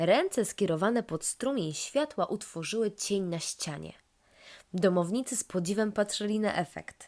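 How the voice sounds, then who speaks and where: On a very clean recording with a silent background, a woman speaks with an unremarkable speaking voice. She has a medium pitch, lively intonation and a moderate pace. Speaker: storyteller. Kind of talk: children's bedtime story narration.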